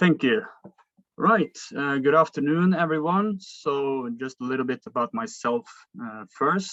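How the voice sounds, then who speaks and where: In a Norwegian accent, a man speaks fairly slowly in a fairly high voice with lively intonation, the sound dry and close with no echo. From Norway. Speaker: philosophy student. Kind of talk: debate. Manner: halting.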